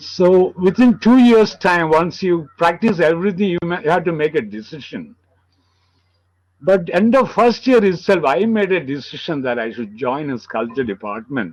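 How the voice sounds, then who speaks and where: This man has a high pitch and a Kerala Indian accent, and he talks at a moderate pace with very wide pitch swings. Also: quiet background. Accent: Malayali Indian English. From India, Kerala (Palakkad, Malabar). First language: Malayalam. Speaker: sculptor. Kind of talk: interview. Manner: halting.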